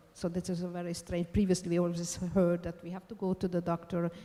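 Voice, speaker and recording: Fairly low in pitch, a woman speaks with a dark, mellow tone. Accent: Hungarian. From Hungary. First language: Hungarian. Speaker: law professor. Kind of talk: conference talk. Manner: halting.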